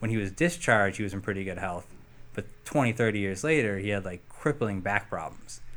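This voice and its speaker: A man with a plain, everyday voice, fairly low in pitch, with lively intonation and a fairly quick pace. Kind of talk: casual chat.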